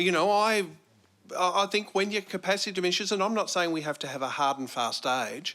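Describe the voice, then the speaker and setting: With an Australian accent, a man speaks high-pitched, fairly quickly and in a raised, projected voice with a bright, sharp tone over a very clean recording with a silent background. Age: 50s. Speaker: audience member, school teacher. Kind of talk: audience discussion.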